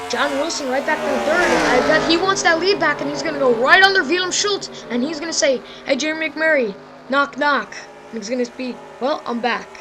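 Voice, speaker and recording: Over noticeable background noise, a woman with a high pitch speaks in a raised, projected voice at a fairly quick pace, her tone animated and her intonation lively. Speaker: sim racing league commentator. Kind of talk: live commentary. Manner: fast.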